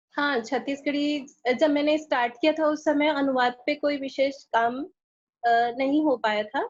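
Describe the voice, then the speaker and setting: She has a high pitch and an accent from Chhattisgarh. Her intonation is fairly even, and her loudness stays very even throughout. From Chhattisgarh, India. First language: Chhattisgarhi (speaking Hindi). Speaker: translator and author. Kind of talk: interview. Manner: halting, many fillers.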